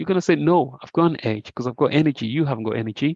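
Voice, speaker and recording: A man's fairly high voice, with ordinary pitch variation, comes across dry and close with no echo. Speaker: trading educator. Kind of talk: online group trade review session. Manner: fast.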